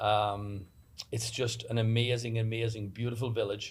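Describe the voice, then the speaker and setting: A man speaks with an Irish accent in a somewhat breathy voice. His intonation is monotone and flat. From Ireland. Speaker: construction business owner, election candidate. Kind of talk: panel discussion, candidate introduction. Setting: studio. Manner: frequent fillers.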